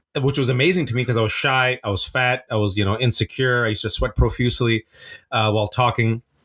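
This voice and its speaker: On a very clean recording with a silent background, a man with a Californian accent speaks at a fairly quick pace, with a medium pitch and an animated tone. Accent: Californian American English. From US West Coast, Bay Area (Fremont), Pakistani family. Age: 40s. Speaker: playwright. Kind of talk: podcast interview. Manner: fast, animated storytelling.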